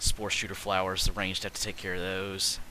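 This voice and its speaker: A man's very deep, low voice, monotone and flat, at a very fast pace. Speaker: gaming video creator. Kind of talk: gameplay commentary. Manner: stuttering, many fillers.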